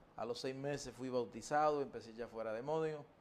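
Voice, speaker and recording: A man with a Cuban accent talks at a moderate pace. His pitch is medium and his intonation fairly even. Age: 60s. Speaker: evangelist preacher. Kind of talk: testimony. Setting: TV studio interview.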